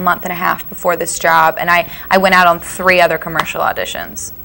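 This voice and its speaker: A woman with an American accent, fairly low pitch and a fairly quick pace. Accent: slight Southern, mostly hidden. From US South, Cullman, Alabama. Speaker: actress. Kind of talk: casual interview chat. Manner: fast, lots of fillers.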